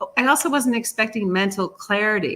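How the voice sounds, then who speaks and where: At a fairly quick pace, a woman with an unremarkable speaking voice talks in an American accent. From US East Coast, Philadelphia. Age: 60s. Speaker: patient, pediatric nurse. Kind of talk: interview, testimony.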